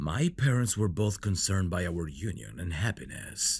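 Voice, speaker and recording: In a put-on character voice pitched very deep and low, a man speaks at a fairly slow pace. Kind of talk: audio roleplay.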